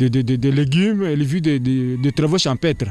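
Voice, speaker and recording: Fairly high male pitch with ordinary variation, music playing in the background behind the man. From DR Congo (Kasai). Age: 60s. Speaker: school director. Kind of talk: interview. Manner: halting.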